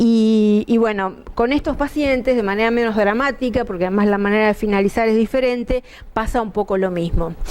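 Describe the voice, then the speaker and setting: Fairly quick, fairly high speech from a woman, its pitch varying in an ordinary way. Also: very even loudness. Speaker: pulmonologist. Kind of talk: medical lecture. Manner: conversational, with filler hesitations.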